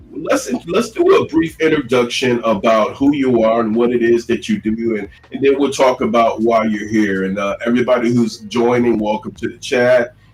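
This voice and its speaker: A man in an American accent at medium pitch and moderate pace, ordinary pitch variation, hardly any pauses, and noticeable background noise. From Chicago South Side. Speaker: talk show host. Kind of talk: live talk show.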